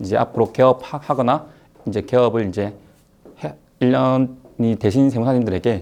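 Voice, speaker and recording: With a slight Gyeongsang accent, a man with a medium pitch and a dark, mellow tone speaks at a fairly slow pace with ordinary pitch variation. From South Gyeongsang, Korea (Hadong/Jinju). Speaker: tax accountant, lecturer. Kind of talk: online lecture. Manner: hesitant, many fillers.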